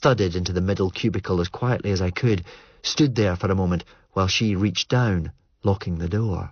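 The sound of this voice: This clip has an unforced reading voice showing ordinary pitch variation.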